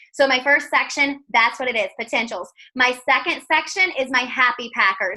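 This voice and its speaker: Raising and projecting her voice, a woman speaks at a moderate pace in a high, bright, sharp tone, animated, with ordinary pitch variation. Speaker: network marketing seller. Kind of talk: video call interview. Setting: video call.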